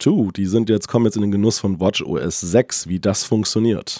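A man is speaking. He has a dark, mellow tone. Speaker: tech podcast co-host. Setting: remote recording, separate locations.

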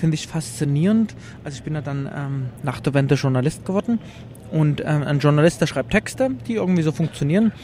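Noticeable background noise behind a man at a fairly high pitch, moderate in pace, with ordinary pitch variation. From eastern Germany, Leipzig. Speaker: journalist and retro game exhibitor. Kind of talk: interview. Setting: trade fair.

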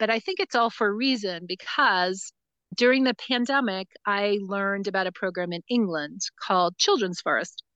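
A woman speaks with an American accent and a bright, sharp tone. The sound is dry and close with no echo, over a quiet background. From US Northeast, New Jersey. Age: 50s. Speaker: forest school founder and educator. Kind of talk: casual interview. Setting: outdoors in a forest, remote call.

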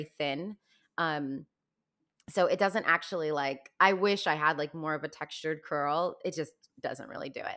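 A woman with an American accent has an unremarkable speaking voice, fairly low in pitch with ordinary pitch variation. She talks at a moderate pace on a very clean recording with a silent background. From Virginia, US (Fairfax County), high school in Los Angeles. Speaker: Broadway actress and singer. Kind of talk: casual interview.

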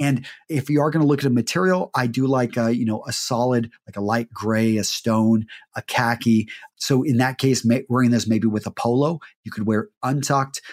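A man with an American accent and a plain, everyday voice, medium pitch, moderate pace, on a very clean recording with a silent background. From Texas. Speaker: men's style expert and YouTuber. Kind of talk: interview.

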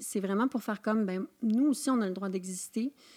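With a plain, everyday voice, a woman of fairly high pitch speaks at a moderate pace with ordinary pitch variation, recorded dry and close with no echo. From Quebec, Charlevoix. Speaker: actress and poet. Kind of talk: casual interview chat.

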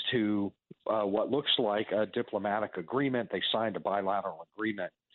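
Using an ordinary speaking voice, a man talks at a moderate pace with a fairly low pitch and fairly even intonation. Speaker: interviewee on border issues. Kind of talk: radio interview.

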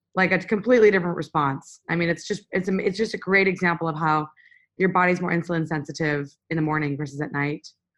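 Speaking very fast, a woman uses a fairly low pitch with ordinary pitch variation. She has an American accent. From USA. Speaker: physician. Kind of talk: interview. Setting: video call.

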